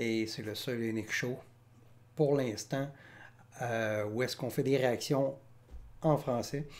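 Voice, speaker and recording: A man in a Quebec accent, medium-pitched, with fairly even intonation, a very slow pace and long, frequent pauses. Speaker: music reaction youtuber. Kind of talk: casual commentary. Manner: hesitant, many fillers.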